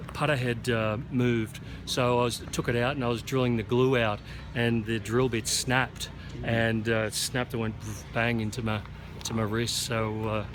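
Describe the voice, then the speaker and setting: Monotone, flat intonation in an Australian accent, at a moderate pace, over noticeable background noise. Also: man, medium pitch for a man. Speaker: golf teaching pro. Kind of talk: post-round interview. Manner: halting, many fillers.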